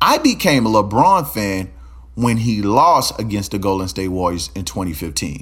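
With an animated tone, a man's voice moves through very wide pitch swings, marked by vocal fry. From Louisiana, Baton Rouge. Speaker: podcast host. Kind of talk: casual monologue.

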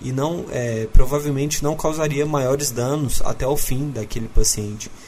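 A man talks with a fairly high pitch. Noticeable background noise can be heard behind him. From Minas Gerais, Uberlândia. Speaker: doctor. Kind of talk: interview.

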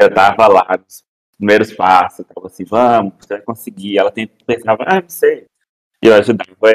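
An ordinary speaking voice moves at a moderate pace, recorded dry and close with no echo. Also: man. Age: 20s. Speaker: podcast guest. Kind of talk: casual chat.

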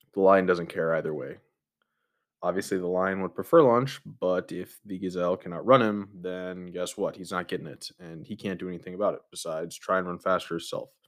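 On a very clean recording with a silent background, the speaker talks fairly quickly with an American accent, fairly even intonation and big swings in loudness. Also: man, very deep, low pitch for a man. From United States. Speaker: podcast host. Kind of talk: solo monologue podcast. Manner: casual with frequent fillers.

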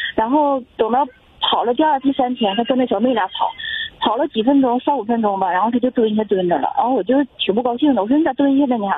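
Over noticeable background noise, a woman talks at a very fast pace in a high pitch, her loudness very even and her pitch variation ordinary. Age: 40s. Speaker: caller, full-time mother. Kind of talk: phone-in advice call. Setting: phone call. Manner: halting.

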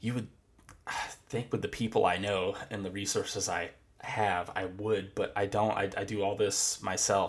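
A man with an American accent, fairly low-pitched and somewhat breathy, at a moderate pace with monotone, flat intonation. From Florida. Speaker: guitarist and music producer. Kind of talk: interview. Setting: video call. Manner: halting.

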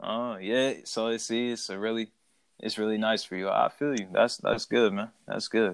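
At a moderate pace, a man talks in an unremarkable speaking voice. His pitch is medium, with fairly even intonation. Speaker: podcast host. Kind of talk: casual chat about wrestling. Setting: remote call recording.

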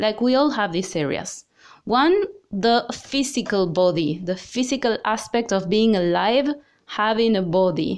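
A normal speaking voice from a woman, fairly high in pitch, with lively intonation, a fairly slow pace and a quiet background. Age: 30s. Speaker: yoga and well-being podcaster. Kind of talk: solo podcast talk.

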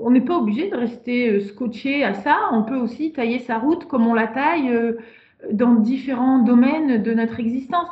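Her voice is high in pitch. The woman varies her pitch in an ordinary way. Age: 40s. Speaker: sexologist and couples therapist. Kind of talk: podcast interview.

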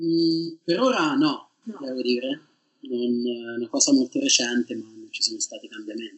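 The speech moves at a moderate pace, with big swings in loudness. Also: man. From Tuscany, Italy (province of Siena). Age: 30s. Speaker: PhD student in geology. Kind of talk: interview.

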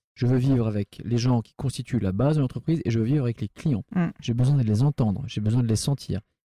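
A man speaks at a very fast pace and a medium pitch, somewhat breathy, with a dark, mellow tone and ordinary pitch variation. The recording is very clean with a silent background, and the sound is dry and close with no echo. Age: 40s. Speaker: restaurant entrepreneur. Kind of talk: casual chat. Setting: in a restaurant. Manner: halting.

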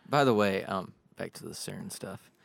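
This man has an ordinary speaking voice with a fairly low pitch. He talks at a moderate pace with lively intonation. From born in Ohio. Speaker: music producer. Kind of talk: casual chat.

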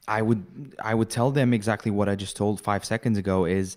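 A man speaks in a normal speaking voice at a fairly quick pace, his fairly low pitch held to fairly even intonation, on a very clean recording with a silent background. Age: 20s. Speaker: marketing and sales entrepreneur. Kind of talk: casual interview.

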